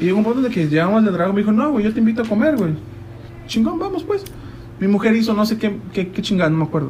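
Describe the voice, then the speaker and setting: Through noticeable background noise and audible room echo, a man talks at a very fast pace with ordinary pitch variation. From Mexico, Chiapas. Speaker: guest recounting life abroad. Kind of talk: casual chat.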